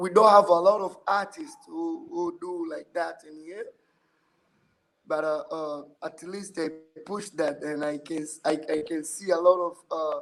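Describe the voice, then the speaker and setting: A man with an East African accent speaks at a high pitch and a fairly slow pace, his intonation fairly even and his loudness swinging widely. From Tanzania. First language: Swahili. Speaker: musician. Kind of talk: podcast interview. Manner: halting.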